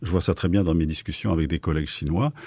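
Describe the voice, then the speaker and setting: A man's dark, mellow tone comes through dry and close with no echo, on a very clean recording with a silent background. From Switzerland, Basel. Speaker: philosopher and sinologist. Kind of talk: radio interview. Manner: halting, with frequent hesitations.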